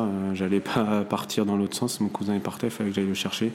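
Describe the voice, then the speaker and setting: A fairly low-pitched man at a fairly quick pace, with noticeable background noise. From Brittany, France (near Saint-Malo). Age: 20s. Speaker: merchant navy officer. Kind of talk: personal testimony interview. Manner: hesitant, many fillers.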